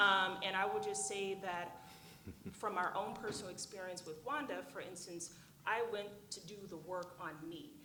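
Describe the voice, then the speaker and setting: Speaking at a moderate pace, a woman with an American accent has a medium pitch with ordinary variation and audible room echo. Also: big swings in loudness. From Oklahoma, US. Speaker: panelist on global health. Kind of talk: conference panel discussion. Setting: conference room with audience. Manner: many fillers (um, uh).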